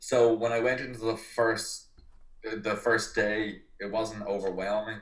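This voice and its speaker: A man speaks at a medium pitch with an Irish accent. Audible room echo surrounds his voice. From Ireland. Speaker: personal trainer. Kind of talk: podcast interview.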